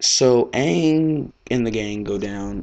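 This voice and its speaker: A man speaks with an American accent. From US South. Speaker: fan video blogger. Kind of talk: casual vlog commentary. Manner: casual, rambling with fillers.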